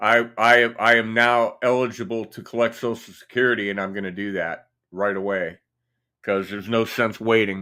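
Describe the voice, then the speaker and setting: In a Midwestern US accent, the voice moves at a moderate pace with flat, monotone intonation, a bright, sharp tone and big swings in loudness. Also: man, medium pitch for a man. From Indiana. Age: 60s. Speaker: guitarist and YouTuber. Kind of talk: casual chat. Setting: livestream. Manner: halting.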